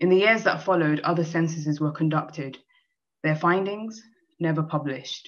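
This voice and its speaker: A woman's very deep, low voice at a moderate pace against a quiet background. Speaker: poet. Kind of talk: poem reading. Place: home room. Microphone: video call.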